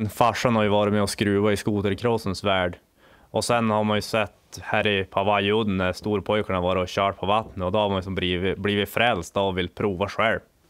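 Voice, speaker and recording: There's a quiet background as a man speaks at a moderate pace and a fairly low pitch. His intonation is monotone and flat, and his loudness stays very even. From northern Sweden, Lycksele; Sweden. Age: 20s. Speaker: snowmobile water-cross racer. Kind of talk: interview. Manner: halting. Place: garage.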